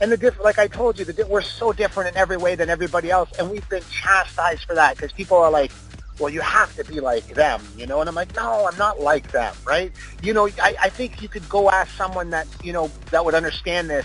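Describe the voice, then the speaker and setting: A man at a very fast pace, dry sound with no echo, and faint music in the background. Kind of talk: interview answer. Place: studio.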